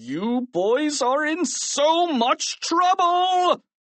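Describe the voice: A put-on character voice growls and shouts at a very slow pace, with big pitch swings and a fairly bright tone. The sound is dry and close, with no echo.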